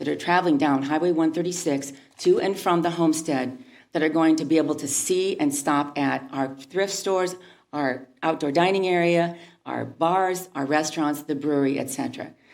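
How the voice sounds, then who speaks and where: A woman talks at a fairly quick pace. Her pitch is very deep and low, and room echo is audible. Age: 60s. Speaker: local retailer giving public comment. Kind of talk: public comment at city council meeting. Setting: city council meeting. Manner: halting.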